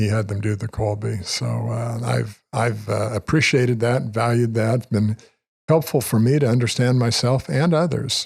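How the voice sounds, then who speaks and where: Somewhat breathy, a man speaks at a medium pitch with ordinary pitch variation, in a US Midwestern accent. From Kansas, Wichita. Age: 70s. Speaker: retired financial advisor. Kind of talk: casual interview.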